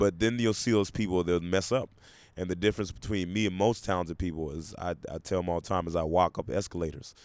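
Over a very clean recording with a silent background, the speech moves at a very fast pace with ordinary pitch variation. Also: man, very deep, low pitch for a man. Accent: American. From US South. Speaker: stand-up comedian. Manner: laid-back, joking.

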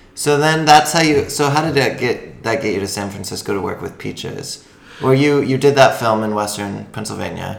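Here is a man with an American accent and a medium pitch. He has a plain, everyday voice. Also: ordinary pitch variation, moderate pace. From Washington State. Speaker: podcast host. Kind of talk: casual chat.

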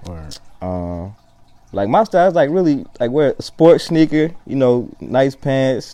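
A man with an American accent speaks fairly slowly at a medium pitch, his dark, mellow tone moving through very wide pitch swings. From Columbia, South Carolina. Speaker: artist. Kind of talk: casual chat.

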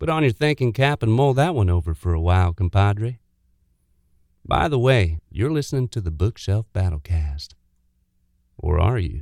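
A dramatic man's voice with very wide pitch swings and long, frequent pauses, dry and close with no echo, in a very clean recording with a silent background. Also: fairly low pitch for a man. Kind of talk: comedic celebrity impression, mock-philosophical monologue. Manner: drawling, laid-back Texan cadence with dramatic pauses, tongue-in-cheek.

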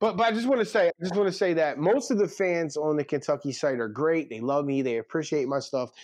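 Against a quiet background, a man with an American accent speaks at a very fast pace and fairly high pitch. His intonation is lively and he hardly pauses. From Philadelphia (North Philly). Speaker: college football recruiting reporter. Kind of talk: casual chat.

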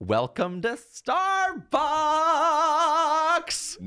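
Someone uses a put-on character voice pitched high. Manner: rote, sing-song greeting.

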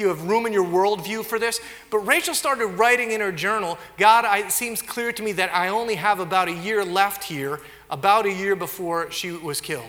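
Amid noticeable background noise and audible room echo, a man projects a raised, high-pitched voice with lively intonation at a moderate pace. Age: 40s. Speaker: pastor. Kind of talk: sermon.

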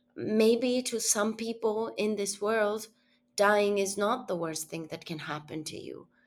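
Recorded very cleanly over a silent background, a woman with an Argentinian accent speaks at a fairly slow pace with ordinary pitch variation. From Argentina. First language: Spanish. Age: 30s. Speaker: journalist. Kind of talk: interview conversation. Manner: halting, searching for words.

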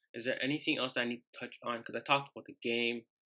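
A man with a bright, sharp tone at a very fast pace. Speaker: football fan podcaster. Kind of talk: casual monologue. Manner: fast, halting with many fillers.

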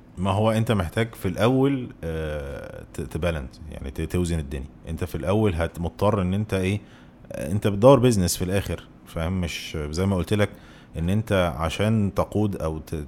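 Lively in intonation, a man with a very deep, low pitch talks at a moderate pace. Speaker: business co-founder, host's former partner. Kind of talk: casual chat.

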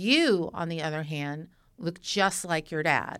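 A woman with an unremarkable speaking voice talks in an American accent at a fairly slow pace. The recording is very clean, with a silent background. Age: 50s. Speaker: podcast host. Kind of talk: casual chat. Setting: studio.

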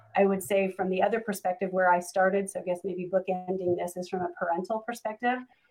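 This woman has a medium pitch and an ordinary speaking voice. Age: 50. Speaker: promotional products business owner. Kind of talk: panel discussion. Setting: video call.

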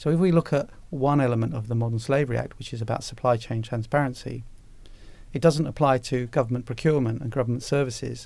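A man speaks at a very fast pace in a medium pitch. His tone is dark and mellow, and his intonation fairly even. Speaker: former anti-slavery commissioner. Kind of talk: interview.

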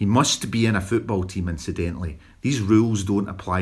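The delivery is an unforced reading voice. It comes across as an unforced reading voice throughout.

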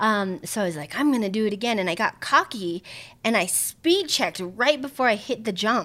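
A woman's fairly high, bright, sharp voice, animated and lively in intonation, at a fairly quick pace, on a very clean recording with a silent background. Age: 40s. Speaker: handbag designer and emcee. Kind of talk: casual interview chat. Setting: home.

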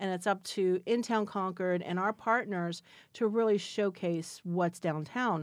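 With an American accent, the speaker has a plain, everyday voice, moving at a fairly slow pace with fairly even intonation. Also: woman, medium pitch for a woman. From Florida, Spring Hill near Tampa. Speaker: downtown business association director. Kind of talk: interview.

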